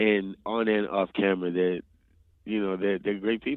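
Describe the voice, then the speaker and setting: The voice carries a slight New Orleans accent. Its intonation is monotone and flat. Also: man. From New Orleans, Louisiana. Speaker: actor. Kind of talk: interview.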